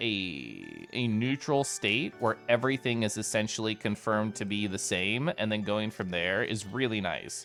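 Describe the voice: Music plays in the background. A man talks at a fairly slow pace.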